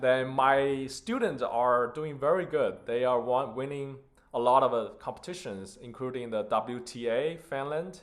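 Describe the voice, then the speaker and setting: With a Chinese accent, a man talks at a fairly slow pace in a medium pitch with ordinary pitch variation, and the room echo is audible. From China (Beijing). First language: Mandarin Chinese. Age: 20s. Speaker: concert pianist and piano teacher. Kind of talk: self-introduction.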